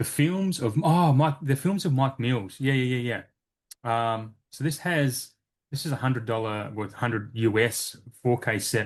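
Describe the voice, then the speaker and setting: A man with an unremarkable speaking voice, medium pitch, ordinary pitch variation and a fairly slow pace against a quiet background. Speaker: physical media collector, podcaster. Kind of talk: casual chat.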